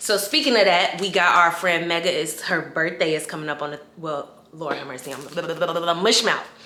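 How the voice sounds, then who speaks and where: Delivered at a fairly quick pace with hardly any pauses, the animated voice shows ordinary pitch variation and big swings in loudness, with audible room echo and noticeable background noise. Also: woman, fairly low pitch for a woman. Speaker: lifestyle vlogger. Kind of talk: casual vlog.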